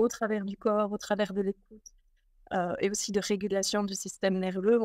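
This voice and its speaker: A woman speaks in a flat monotone at a moderate pace. The background is quiet, and the sound is dry with no echo. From Belgium. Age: 40s. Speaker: spiritual teacher; interview guest. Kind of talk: casual interview. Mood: warm, calm, reflective. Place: home room.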